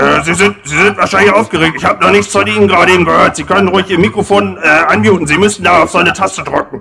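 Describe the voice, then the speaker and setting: A man uses a put-on character voice at a high pitch. He talks at a very fast pace with hardly any pauses. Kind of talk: comic overacting. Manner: bumbling, hesitant, stammering.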